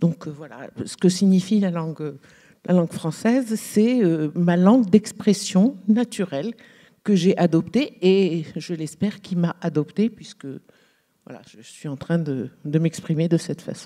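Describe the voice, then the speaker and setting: A woman speaks at a fairly slow pace in a dark, mellow, fairly low voice. Her loudness swings widely while her pitch varies in an ordinary way. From Algeria. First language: Arabic (speaking French). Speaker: novelist. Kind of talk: panel discussion. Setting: stage with audience. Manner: halting.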